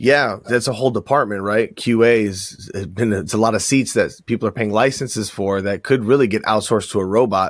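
A man speaks at a fairly quick pace with a fairly low pitch, fairly even intonation and hardly any pauses, in a normal speaking voice on a very clean recording with a silent background. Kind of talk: casual chat.

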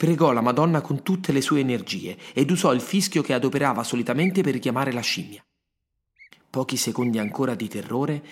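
The intonation rises and falls in a lively way. It comes from an unremarkable speaking voice. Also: man. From Rome, Italy. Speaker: writer and podcast narrator, former actor. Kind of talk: scripted storytelling narration.

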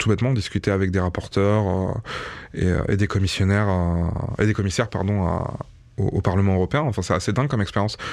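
A man speaks very fast with fairly low pitch. His intonation is fairly even and his loudness very even. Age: 30s. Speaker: YouTuber. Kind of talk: testimony.

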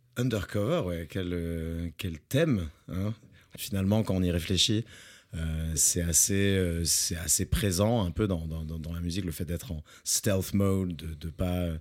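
Speaking at a very slow pace, a man has a very deep, low pitch. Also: ordinary pitch variation. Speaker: music podcast co-host. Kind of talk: casual chat. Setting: studio.

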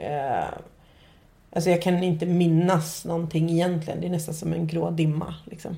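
A woman speaks at a moderate pace with a fairly low, somewhat breathy, dark and mellow voice. Her intonation is monotone and flat, and the room echo is audible. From Nacka, Stockholm, Sweden. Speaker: podcast host. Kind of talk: casual chat.

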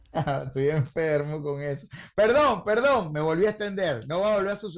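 A man speaks with a Venezuelan accent at a moderate pace. His pitch sits fairly high, and his intonation is lively. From Venezuela, Caracas. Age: 40s. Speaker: comedian. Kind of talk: casual chat.

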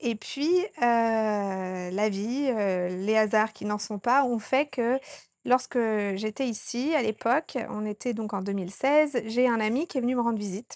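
Over a quiet background, a woman with a fairly high pitch and ordinary pitch variation talks at a very slow pace. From France, Haute-Savoie (Annecy). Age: 30s. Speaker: doula and women's retreat organizer. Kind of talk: interview. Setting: on location in Sri Lanka. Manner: hesitant with fillers.

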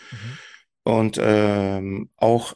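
The background is quiet and the sound dry and close, with no echo. A man speaks at medium pitch. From Germany, Turkish family. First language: Turkish (speaking German). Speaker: SEO manager, podcast guest. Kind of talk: interview, casual chat. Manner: hesitant, many fillers.

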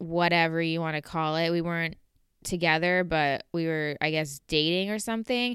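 A woman speaks with a Southern California accent, her pitch fairly low and her tone bright and sharp. The recording is very clean, with a silent background. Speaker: podcast host. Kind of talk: personal monologue. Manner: casual, conversational.

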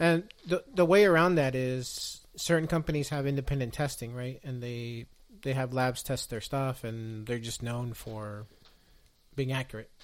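In an ordinary speaking voice, a man talks at a medium pitch and moderate pace with ordinary pitch variation. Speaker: podcast co-host. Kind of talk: casual chat.

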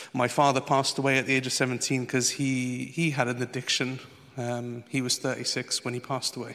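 The voice has a bright, sharp tone and a fairly quick pace. Its intonation stays monotone and flat. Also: man, medium pitch for a man. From Portugal. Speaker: former nightclub doorman giving testimony. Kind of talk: testimony.

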